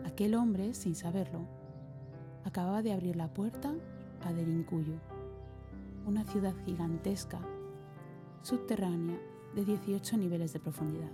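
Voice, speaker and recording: A woman's calm tone, fairly low in pitch yet with very wide pitch swings, broken by long, frequent pauses, with music in the background. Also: fairly slow pace. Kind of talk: reflective voice-over narration.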